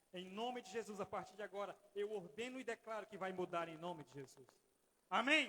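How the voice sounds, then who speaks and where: Raising and projecting his voice, a man with a high pitch for a man speaks at a fairly quick pace with ordinary pitch variation. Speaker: pastor. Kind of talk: sermon. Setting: church. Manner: fast.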